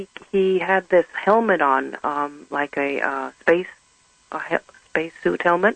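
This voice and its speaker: This woman's voice sits fairly low in pitch with ordinary variation. The sound is dry and close, with no echo. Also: fairly slow pace. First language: German. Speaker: caller. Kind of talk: testimony.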